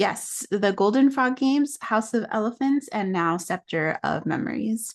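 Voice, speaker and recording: A woman's fairly high voice with an American accent, an ordinary speaking voice, lively intonation, a fairly slow pace with hardly any pauses, and a quiet background. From New York City, Dominican family. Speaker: children's book author. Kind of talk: interview.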